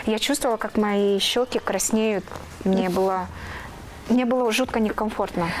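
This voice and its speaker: Noticeable background noise sits behind a woman talking at a fairly quick pace. Her pitch is fairly high, with ordinary variation. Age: 30s. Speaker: TV news presenter and reporter. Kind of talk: interview. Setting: studio. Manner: halting.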